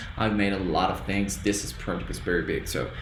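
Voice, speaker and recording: Audible room echo and noticeable background noise. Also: man. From Colombia. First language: Spanish. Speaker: student. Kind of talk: tutorial. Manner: halting.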